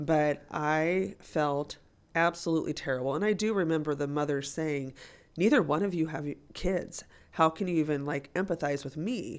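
Over a quiet background, a woman speaks at a moderate pace in a very deep, low pitch with ordinary pitch variation. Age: 40s. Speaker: teacher. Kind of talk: interview.

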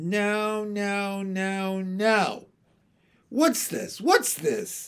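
In a put-on character voice with a fairly high pitch, the speaker goes at a very slow pace on a very clean recording with a silent background. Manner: fussy, puzzled.

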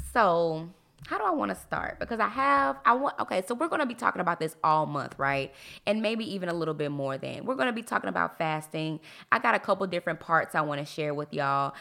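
On a very clean recording with a silent background, a woman talks at a fairly quick pace in a fairly low pitch, her tone bright and sharp and her intonation lively. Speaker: podcast host. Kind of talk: casual monologue. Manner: animated, varied pitch; energetic.

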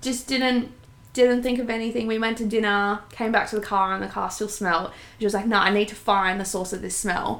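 Talking at a fairly quick pace, a woman with an Australian accent uses a fairly high pitch and fairly even intonation. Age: 20s. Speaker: podcast co-host. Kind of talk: casual chat. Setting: home lounge room.

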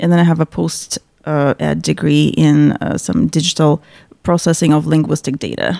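The sound is dry and close with no echo, and the pace is moderate. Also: woman. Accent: Russian. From central Russia, Chuvash Republic. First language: Russian. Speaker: paralegal. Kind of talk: interview. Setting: studio.

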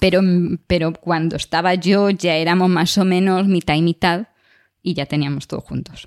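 In a very clean recording with a silent background, a woman speaks at a moderate pace in a fairly low pitch, her intonation monotone and flat. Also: dry, close sound with no echo. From Galicia, Spain. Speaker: podcast co-host, biologist. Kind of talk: casual chat.

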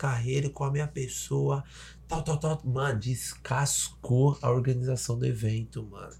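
A man talks at medium pitch and a moderate pace in a dark, mellow, somewhat breathy tone. The recording is very clean, with a silent background. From Salvador, Bahia, Brazil. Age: 30s. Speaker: podcast host. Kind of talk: casual chat. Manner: animated.

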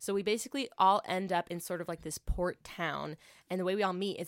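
The recording is very clean, with a silent background. A woman speaks in an ordinary speaking voice with a fairly low pitch. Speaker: podcast co-host. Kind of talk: casual chat. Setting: studio.

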